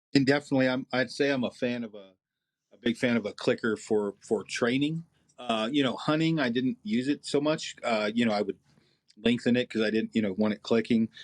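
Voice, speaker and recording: Recorded with a dry, close sound and no echo, a man of medium pitch talks at a fairly quick pace with ordinary pitch variation. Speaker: archery expert. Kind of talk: interview. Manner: fast.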